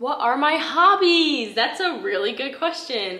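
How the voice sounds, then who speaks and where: Lively intonation marks this woman's speech in an American accent. Audible room echo and light background noise are present. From upstate New York. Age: 20s. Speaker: YouTuber. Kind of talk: casual Q&A vlog. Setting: home recording. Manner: casual, filler-heavy (like). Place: home room.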